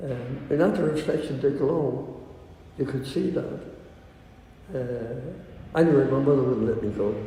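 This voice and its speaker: A man with a Dublin accent speaks at a fairly slow pace and fairly high pitch, with ordinary pitch variation and long, frequent pauses. Noticeable background noise and audible room echo fill the recording. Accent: Dublin Irish. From Ireland, Dublin. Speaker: interviewee. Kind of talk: oral history interview. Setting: recorded interview. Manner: halting.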